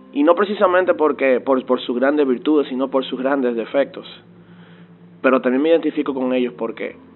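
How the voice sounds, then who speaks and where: Medium-pitched speech from a man at a moderate pace with ordinary pitch variation, music in the background. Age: 20s. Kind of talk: testimony. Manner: halting, frequent word repetitions.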